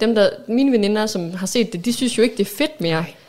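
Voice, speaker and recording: Talking at a very fast pace, a woman speaks with a medium pitch. Her pitch variation is ordinary. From Aalborg, North Jutland, Denmark. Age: 30s. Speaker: podcast co-host, works in media. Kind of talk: casual chat.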